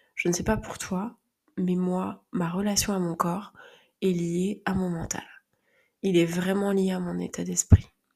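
A woman's somewhat breathy, dark and mellow medium-pitched voice, very slow, flat and monotone, with long, frequent pauses. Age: 30s. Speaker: podcast host and phototherapist. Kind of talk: personal monologue.

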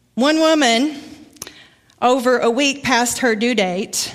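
With a Southern US accent, a woman speaks in a high voice, her loudness very even and her pitch varying in an ordinary way. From Arkansas, US South. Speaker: guest preacher. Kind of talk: sermon. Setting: church.

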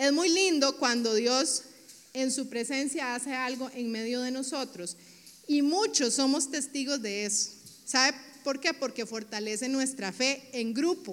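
Here a woman speaks in a Costa Rican accent with an animated tone and a high pitch. Her pace is fairly slow, with ordinary pitch variation. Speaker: pastor. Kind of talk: sermon.

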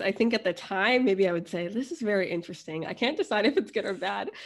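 A woman with an American accent has medium pitch and ordinary pitch variation, in an ordinary speaking voice. The background is quiet. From US, New Jersey and Florida. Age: 20s. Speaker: travel blogger and MBA student. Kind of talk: casual interview.

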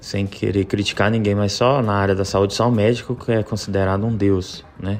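Noticeable background noise runs under a man whose fairly low voice keeps a moderate pace. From Belo Horizonte, Minas Gerais, Brazil. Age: 30s. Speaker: personal trainer. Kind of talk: interview. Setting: remote connection.

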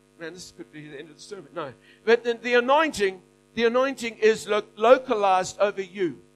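Lively and high-pitched, a man's voice comes through with music in the background. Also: big swings in loudness. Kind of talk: sermon. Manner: preacher in full flow, rallying the crowd with calls to say amen.

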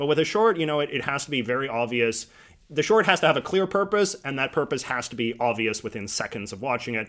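The speech races along at a very fast pace with very wide pitch swings. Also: man, fairly high pitch for a man. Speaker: YouTuber. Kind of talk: casual interview chat. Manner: fast talker.

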